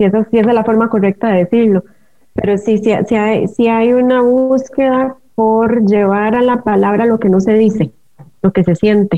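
A woman with an ordinary speaking voice talks at a fairly high pitch and moderate pace. Her intonation is fairly even and her loudness very even. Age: 40s. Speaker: writer and dancer. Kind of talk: interview.

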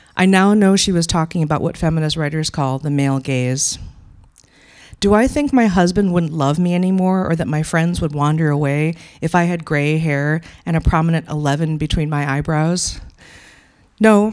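With an American accent, a woman speaks in a fairly low, normal speaking voice. Her ordinary pitch variation comes through a very clean recording with a silent background. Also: moderate pace. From Wisconsin. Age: 50s. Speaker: storyteller and activist. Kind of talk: personal story read aloud.

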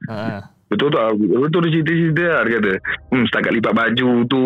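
The speaker has a Malaysian accent and ordinary pitch variation. Noticeable background noise is present. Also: man. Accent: Malaysian Malay. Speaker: caller, former university student. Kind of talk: casual storytelling. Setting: phone call. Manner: rambling, casual.

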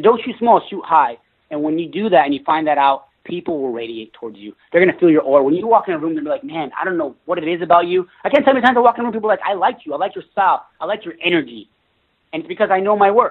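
Very fast and animated, a man with a high pitch speaks with very wide pitch swings and big swings in loudness. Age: 20s. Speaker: network marketing entrepreneur. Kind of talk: interview.

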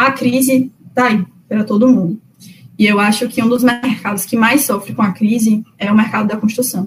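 An unremarkable speaking voice, a woman's, fairly high in pitch, with fairly even intonation and a moderate pace. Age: 20s. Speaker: civil engineer. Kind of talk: interview. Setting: remote call.

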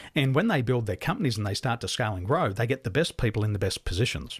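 A man with an Australian accent talks at a medium pitch in a somewhat breathy voice, on a very clean recording with a silent background. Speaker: business coach. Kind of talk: interview.

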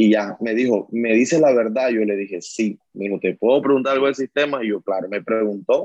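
Fairly quick speech with ordinary pitch variation and a dry, close sound with no echo. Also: man, medium pitch for a man. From Colombian Caribbean coast, La Guajira / Barranquilla. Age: 30s. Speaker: coal miner and trade unionist. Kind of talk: interview testimony. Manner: hesitant, with fillers.

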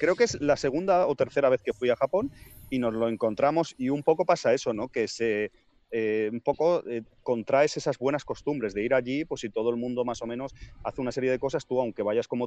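An ordinary speaking voice from a man at medium pitch, fairly quick, with ordinary pitch variation and a dry, close sound with no echo against a quiet background. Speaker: podcaster. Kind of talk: casual chat.

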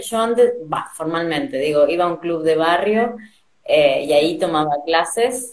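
In a Rioplatense accent, a woman speaks fairly slowly at a fairly low pitch with lively intonation. Audible room echo surrounds her. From Argentina. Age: 30s. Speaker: dancer. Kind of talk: interview.

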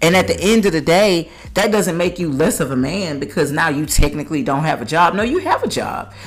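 This woman has a plain, everyday voice with a fairly low pitch. Her intonation is lively. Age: 30s. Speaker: podcast host. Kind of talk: casual chat; scripted outro.

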